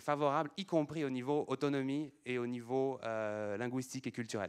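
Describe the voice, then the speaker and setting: A man's medium-pitched voice moves at a moderate pace with ordinary pitch variation over a quiet background. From France. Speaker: conference speaker on languages. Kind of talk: lecture. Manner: halting, many fillers and repetitions.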